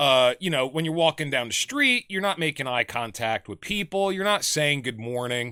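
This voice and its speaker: Fairly high in pitch with a bright, sharp tone, a man speaks at a moderate pace with hardly any pauses, in a dry, close sound with no echo and a very clean recording with a silent background. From New Jersey. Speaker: podcast host. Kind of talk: casual chat.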